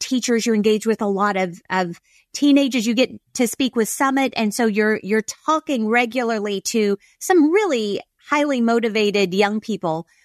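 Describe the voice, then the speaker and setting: In a dry, close recording with no echo and a quiet background, a woman with an ordinary speaking voice talks at a moderate pace and fairly high pitch, her intonation lively. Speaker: podcast host. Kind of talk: podcast interview.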